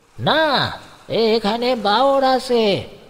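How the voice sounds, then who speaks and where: Doing a put-on character voice, a man talks at an extremely high pitch with fairly even intonation. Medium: read story. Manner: blunt, commanding.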